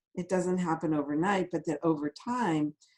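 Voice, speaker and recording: A woman with an American accent, a fairly low pitch and a dark, mellow tone. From Chicago, US Midwest. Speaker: functional nutrition expert and author. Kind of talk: interview.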